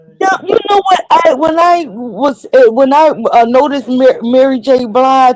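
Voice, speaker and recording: A woman with a high voice speaks at a fairly slow pace, her pitch swinging very widely while her loudness stays very even. There is noticeable background noise. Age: 60s. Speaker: caller joining a livestream. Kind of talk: casual chat. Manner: halting.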